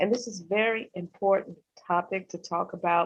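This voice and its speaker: A woman with an American accent has a plain, everyday voice at a medium pitch. She speaks at a moderate pace. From Chicago. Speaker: wellness practitioner. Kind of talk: panel discussion.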